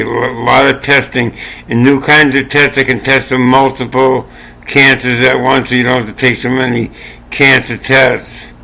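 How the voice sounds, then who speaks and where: A man delivers his words at a moderate pace in a monotone, flat intonation while noticeable noise sounds behind him. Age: 60s. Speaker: channel owner sharing health opinions. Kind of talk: casual monologue. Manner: repetitive, halting.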